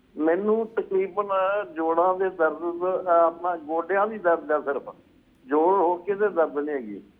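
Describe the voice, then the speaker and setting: This man has a high-pitched voice that moves up and down in an ordinary way. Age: 70s. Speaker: caller. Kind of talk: phone-in question. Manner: halting.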